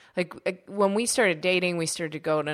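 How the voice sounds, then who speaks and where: Lively intonation from a fairly low-pitched woman against a quiet background. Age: 30s. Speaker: journalist and podcast co-host. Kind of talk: casual chat. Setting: home recording.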